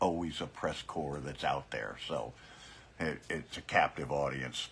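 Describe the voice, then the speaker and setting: A man speaks with vocal fry. His pace is fairly slow. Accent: American. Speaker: biker political commentator. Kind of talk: casual livestream commentary. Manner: hesitant, many fillers and repeats.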